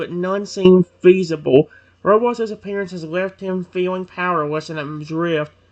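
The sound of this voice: An unforced reading voice is what this clip offers.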